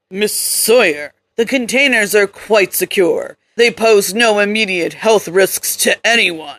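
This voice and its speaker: Putting on a character voice, a woman speaks at medium pitch and a fairly slow pace with ordinary pitch variation. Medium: read story. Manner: calm, polished, coolly menacing.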